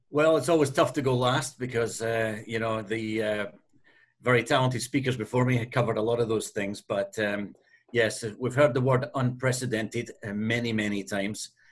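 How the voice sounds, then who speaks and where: This man has an American accent and a somewhat breathy voice. His pitch is medium and his intonation fairly even. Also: moderate pace. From US Northeast. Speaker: hotel company executive; panelist. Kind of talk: webinar panel answer. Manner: hesitant, many fillers. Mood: friendly, light. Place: office. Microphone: video call.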